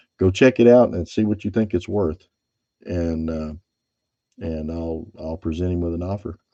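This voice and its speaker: The speaker has a Californian accent and a dark, mellow tone. The pace is moderate, the pitch variation ordinary, and the background quiet. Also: man. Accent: Bakersfield. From California (Bakersfield, Kern County). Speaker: silver stacking YouTuber, former truck driver. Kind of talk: casual live stream chat.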